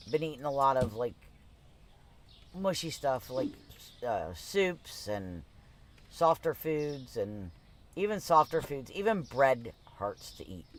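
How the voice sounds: A man speaks at a slow pace, his pitch swinging widely. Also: medium pitch for a man.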